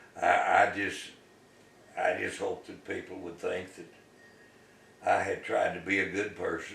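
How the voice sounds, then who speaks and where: Amid noticeable background noise and audible room echo, a man with an American accent speaks at a fairly slow pace, with long, frequent pauses and big swings in loudness. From US South. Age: 80s+. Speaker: retired local businessman. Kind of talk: oral history interview. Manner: halting.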